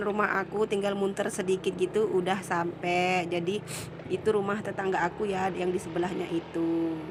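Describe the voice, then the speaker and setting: Speaking at a fairly quick pace, a woman with a medium pitch keeps a monotone, flat intonation and very even loudness over noticeable background noise. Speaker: vlogger. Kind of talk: vlog voice-over narration. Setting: dubbed voice-over. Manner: casual.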